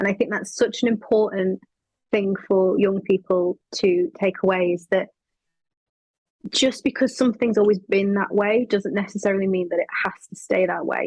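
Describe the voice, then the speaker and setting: The speaker has a strong northern English accent and a somewhat breathy voice at a moderate pace. The sound is dry and close, with no echo. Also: woman. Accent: thick northern English. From northern England. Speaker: actress. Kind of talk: interview.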